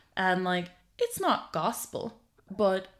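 A woman speaks with an Irish accent on a very clean recording with a silent background. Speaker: tech comedy podcast co-host, programmer. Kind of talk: casual chat.

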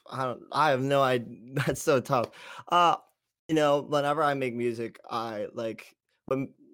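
In an ordinary speaking voice, a man talks at medium pitch and a fairly slow pace with fairly even intonation, on a very clean recording with a silent background. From US East Coast, Pennsylvania boarding school. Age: young. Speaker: musician and producer. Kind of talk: interview.

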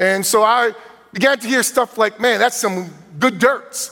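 A man's high-pitched voice carries an animated tone and ordinary pitch variation. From New Jersey. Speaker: guest preacher. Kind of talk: sermon. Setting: church.

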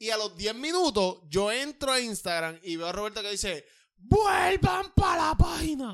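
The voice has a Puerto Rican accent and an animated tone, with very wide pitch swings and big swings in loudness. The recording is very clean, with a silent background. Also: man, high pitch for a man, fairly slow pace. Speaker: podcast co-host, artist. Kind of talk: casual chat.

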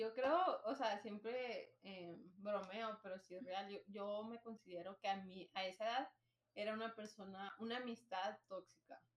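A woman with a fairly high voice talks at a fairly slow pace, her intonation fairly even. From Nogales, Arizona–Sonora border. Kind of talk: casual chat.

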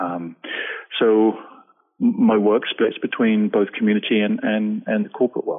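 A man speaks with an English accent. He leaves long pauses, and they come often. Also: moderate pace. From England. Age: 40s. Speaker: lawyer turned speaker. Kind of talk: interview. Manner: hesitant, filler words.

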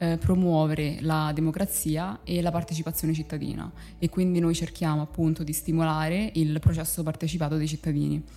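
Her pitch is very deep and low, her tone dark and mellow. The woman talks at a fairly quick pace with fairly even intonation. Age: 20s. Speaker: communications manager at a nonprofit. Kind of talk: interview. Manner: hesitant.

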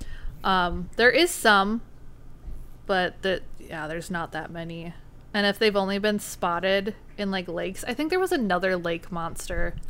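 Speaking in a Minnesotan accent, a woman with a medium pitch and a bright, sharp tone moves at a moderate pace with ordinary pitch variation on a very clean recording with a silent background. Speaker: podcast host. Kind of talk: casual chat.

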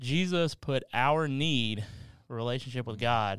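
The speaker has a Southern US accent and lively intonation. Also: man. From Kentucky. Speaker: pastor. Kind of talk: casual chat.

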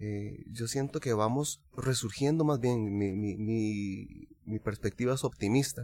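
A man with a Costa Rican accent speaks at a medium pitch in a dark, mellow tone. His pace is very slow, with ordinary pitch variation and hardly any pauses. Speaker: singer-songwriter. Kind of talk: casual chat.

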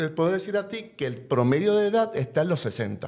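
His pitch rises and falls very widely. This man keeps to a moderate pace. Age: 60s. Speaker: advocacy organization director. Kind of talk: panel discussion.

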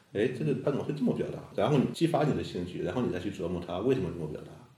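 A man talks at a very fast pace with lively intonation. Audible room echo surrounds his voice. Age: young. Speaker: poet. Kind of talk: casual interview chat.

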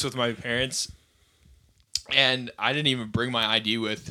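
A man with an American accent speaks at a moderate pace in a medium pitch, his tone bright and sharp. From rural Wisconsin. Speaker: podcast co-host. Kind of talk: casual chat.

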